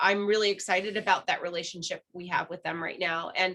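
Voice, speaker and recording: A loud woman's voice with a bright, sharp tone and ordinary pitch variation. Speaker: parks committee member. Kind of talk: committee meeting discussion.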